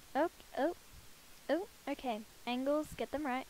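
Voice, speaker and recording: A woman speaks with a high pitch and ordinary pitch variation. The sound is dry with no echo, and there is light background noise. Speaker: gaming YouTuber. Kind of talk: casual gameplay commentary. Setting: room with another person. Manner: animated, enthusiastic. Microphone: headset.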